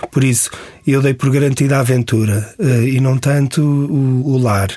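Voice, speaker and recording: In a European Portuguese accent, a man speaks with a fairly high pitch, a dark, mellow tone and ordinary pitch variation. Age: 40s. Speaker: travel writer. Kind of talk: interview.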